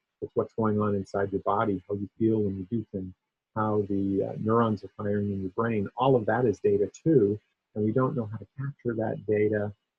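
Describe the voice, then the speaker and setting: With an ordinary speaking voice, a man speaks at a moderate pace in a fairly low pitch and fairly even intonation. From US Northeast (Maine). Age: 60s. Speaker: tech researcher and keynote speaker. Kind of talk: conference keynote. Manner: conversational with frequent fillers.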